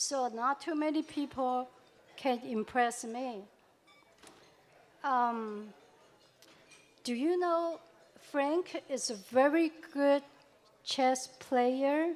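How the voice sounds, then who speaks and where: A woman speaks at a very slow pace and high pitch, with ordinary pitch variation and long, frequent pauses. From Taiwan. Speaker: eulogy speaker at a memorial. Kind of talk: memorial tribute speech. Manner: halting.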